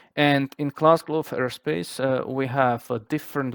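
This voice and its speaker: The sound is dry and close with no echo as a man of medium pitch speaks with a non-native accent. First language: not English. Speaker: flight sim group flight organizer. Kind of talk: briefing explanation. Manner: halting, many fillers.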